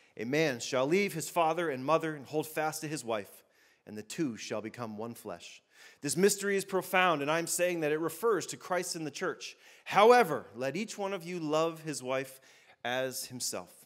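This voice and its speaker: A man talks at a moderate pace, and the surroundings stay quiet. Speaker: pastor. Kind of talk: sermon. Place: church. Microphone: handheld.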